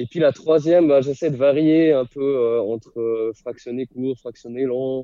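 A man speaks at a very slow pace in a medium pitch, with fairly even intonation and hardly any pauses. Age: 30s. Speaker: primary school teacher and amateur runner. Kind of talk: casual interview. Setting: remote call from his classroom in the evening.

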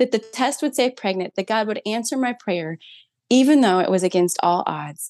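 With an American accent, a woman talks at a moderate pace with lively intonation and a fairly high pitch. Music plays in the background, and the sound is dry and close with no echo. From Minnesota. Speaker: mother sharing faith testimony. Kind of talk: personal testimony in interview.

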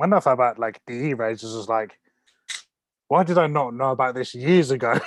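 In a very clean recording with a silent background, a man with a British accent speaks at a medium pitch and a moderate pace. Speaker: podcast host. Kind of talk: casual interview chat.

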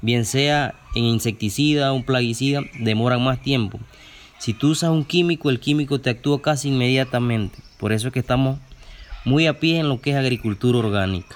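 A man at medium pitch, moderate pace, very even loudness, and ordinary pitch variation. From Chiriquí, Panama. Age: young. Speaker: farmer. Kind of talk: interview. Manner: halting.

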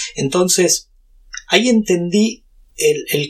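A man with a Rioplatense accent speaks at a very slow pace. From Brazil and Argentina. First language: Portuguese (speaking Spanish). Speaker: YouTuber and tech entrepreneur. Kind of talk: interview.

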